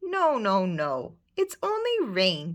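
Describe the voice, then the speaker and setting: A woman uses a put-on character voice. Her pitch sits in the medium range. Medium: read story.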